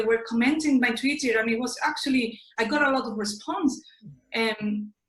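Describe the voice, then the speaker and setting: In an Andalusian accent, a woman speaks at a moderate pace with a high pitch. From southern Spain (Seville, Andalusia). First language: Spanish. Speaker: interviewee sharing personal experience. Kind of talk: interview. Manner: halting, with self-corrections.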